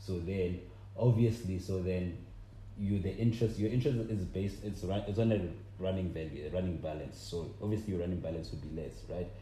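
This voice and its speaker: A very deep, low-pitched man with a South African accent, fairly quick, with ordinary pitch variation and audible room echo. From South Africa, Limpopo. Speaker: podcast co-host. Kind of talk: casual chat.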